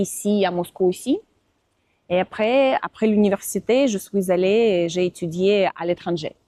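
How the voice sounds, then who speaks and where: At a fairly slow pace, a woman speaks in a medium-pitched, dark, mellow tone with ordinary pitch variation, very even loudness and a dry, close sound with no echo. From Russia, Moscow. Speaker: Russian and French teacher, visa assistant. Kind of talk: interview. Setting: outdoors. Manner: halting, many hesitations.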